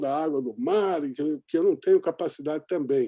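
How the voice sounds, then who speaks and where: Close, dry male speech without any echo, set against a quiet background. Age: 60s. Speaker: journalist and documentary maker. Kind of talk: interview conversation. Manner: animated.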